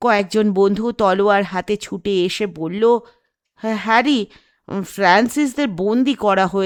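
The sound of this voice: The background stays quiet while an unforced reading voice carries the words.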